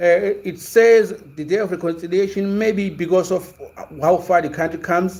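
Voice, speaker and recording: Here a man speaks at a high pitch and a moderate pace. His intonation is fairly even. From South Africa, Zulu. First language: Zulu. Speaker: sports commentator, livestream host. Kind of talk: casual livestream chat. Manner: hesitant, many fillers and repetitions.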